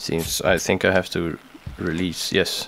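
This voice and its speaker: A man talks at a very slow pace in a monotone, flat intonation. Noticeable background noise sits behind him. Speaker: gaming video creator. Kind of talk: gameplay commentary. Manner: halting.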